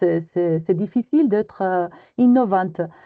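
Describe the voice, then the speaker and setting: A woman speaks in a Spanish accent with ordinary pitch variation. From Spain. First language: Spanish (speaking French). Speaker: EU project consultant. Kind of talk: webinar presentation.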